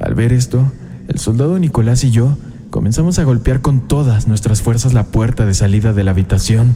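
Over noticeable background noise, a man talks at a moderate pace with a medium pitch and ordinary pitch variation. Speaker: horror podcast host reading a listener's story. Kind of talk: ghost story telling, first-person scary narration. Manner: hushed, suspenseful, building dread.

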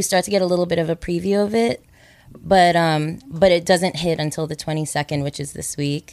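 A woman with an ordinary speaking voice, fairly low pitch, fairly even intonation and a moderate pace. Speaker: astrologer. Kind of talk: casual chat.

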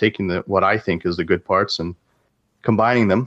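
A man with a Canadian accent, fairly low in pitch, at a fairly quick pace over a quiet background. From Canada. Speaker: indie game developer. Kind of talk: casual interview. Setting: call. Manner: hesitant, many fillers.

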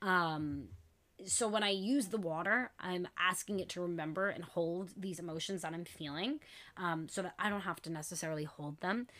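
On a very clean recording with a silent background, a woman with a fairly low pitch and a bright, sharp tone speaks at a moderate pace with ordinary pitch variation. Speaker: podcast host. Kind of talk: casual monologue. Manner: voice shaking.

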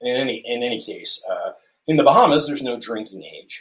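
This is a man speaking. He has an American accent. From central New Jersey, US. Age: 40s. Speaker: podcast guest. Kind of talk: casual interview chat. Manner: halting, many fillers.

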